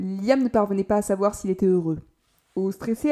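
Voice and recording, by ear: A natural voice reading aloud, with quiet surroundings.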